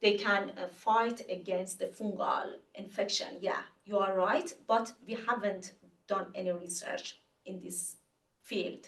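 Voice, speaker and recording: This woman has an Iranian accent and a medium-pitched, somewhat breathy voice, with audible room echo. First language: Farsi. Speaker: researcher presenting a talk. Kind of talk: Q&A after lecture. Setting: webinar. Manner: halting, many fillers.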